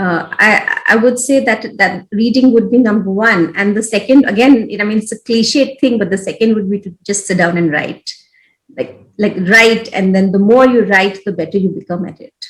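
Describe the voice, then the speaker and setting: A woman with an Odisha accent speaks at a fairly high pitch, somewhat breathy, with ordinary pitch variation. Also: moderate pace, big swings in loudness. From India, Odisha. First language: Odia. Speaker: education program leader, former journalist. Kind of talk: interview. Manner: hesitant, many fillers.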